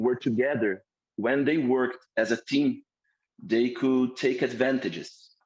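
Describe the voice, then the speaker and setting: In a Portuguese accent, a man speaks at a medium pitch with fairly even intonation and very even loudness. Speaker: course instructor. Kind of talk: lecture. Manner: halting.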